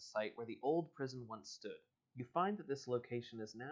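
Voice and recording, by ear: The surroundings stay quiet during reading aloud in a natural voice.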